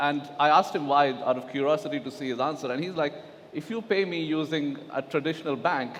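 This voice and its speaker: A man with a fairly high pitch and ordinary pitch variation talks fairly quickly, noticeable background noise behind him. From Pakistan. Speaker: digital asset executive on panel. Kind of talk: conference panel discussion. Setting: stage at blockchain conference.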